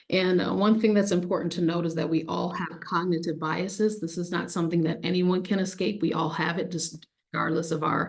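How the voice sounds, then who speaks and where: Over audible room echo, a woman with a fairly low pitch speaks at a fairly quick pace with hardly any pauses and a monotone, flat intonation. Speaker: workshop presenter on diversity and inclusion. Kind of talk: workshop presentation. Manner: fast.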